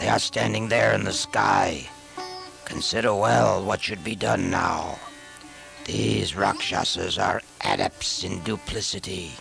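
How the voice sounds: Slow, put-on character voice from a man, low-pitched with vocal fry, a fairly bright tone, and ordinary pitch variation, with faint music in the background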